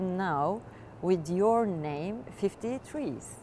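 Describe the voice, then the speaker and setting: A woman with a Turkish accent speaks at a very slow pace, medium in pitch with a dark, mellow tone. The sound is dry with no echo, with light background noise. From Turkey. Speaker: interviewer. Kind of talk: interview. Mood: warm, cheerful. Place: studio. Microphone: lapel.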